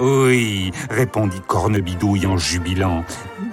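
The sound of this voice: Reading in an unforced voice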